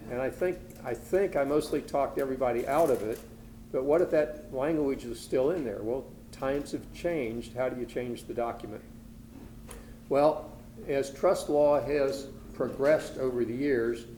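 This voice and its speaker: The speech moves at a moderate pace with long, frequent pauses and fairly even intonation, set in audible room echo. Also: man, fairly high pitch for a man. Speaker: estate planning attorney presenter. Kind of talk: lecture. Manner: soft-spoken.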